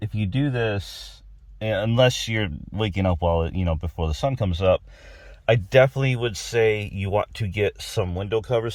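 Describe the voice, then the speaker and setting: Somewhat breathy, a man talks with an American accent and lively intonation. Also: very clean recording, silent background. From Texas. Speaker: automotive and outdoors YouTuber. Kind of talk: product review vlog. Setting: inside a truck cab. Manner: casual, conversational.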